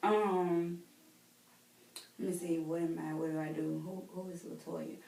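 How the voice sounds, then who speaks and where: Speaking slowly with a Southern US accent, a woman uses a fairly low, monotone, flat delivery, with audible room echo. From US South, Mississippi. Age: 20s. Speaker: role-play counseling client. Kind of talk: mock counseling interview. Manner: hesitant, many fillers.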